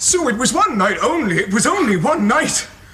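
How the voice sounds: In a put-on character voice, a man speaks at a moderate pace with extremely high pitch, big pitch swings, and a bright, sharp tone, with audible room echo.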